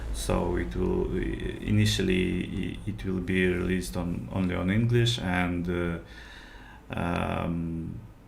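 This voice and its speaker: A man's very deep, low voice in a Russian accent, very slow and lively in intonation, with audible room echo. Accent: Russian accent, noticeable. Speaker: game developer and streamer. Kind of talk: live development stream. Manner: halting, many fillers.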